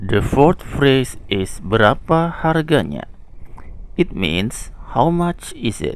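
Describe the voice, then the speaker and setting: A man with an Indonesian accent and a fairly high pitch speaks at a very slow pace with very wide pitch swings. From Indonesia, Lombok. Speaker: language teacher. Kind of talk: tutorial. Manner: slow and clear.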